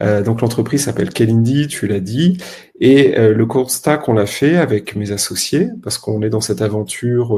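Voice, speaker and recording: A man's voice comes across dark, mellow and somewhat breathy. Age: 30s. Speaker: health tech startup co-founder. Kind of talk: podcast interview.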